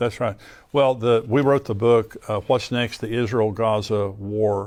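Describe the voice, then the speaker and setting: In a very clean recording with a silent background, a man with a plain, everyday voice speaks at medium pitch and a moderate pace with fairly even intonation. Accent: American. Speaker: Bible prophecy teacher, pastor and show host. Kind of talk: interview host discussing Bible prophecy and current events.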